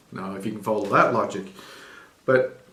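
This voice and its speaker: A man talks at a very fast pace. Noticeable background noise runs under the recording. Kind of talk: irreverent scripture reading and commentary. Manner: casual, sardonic, hesitant.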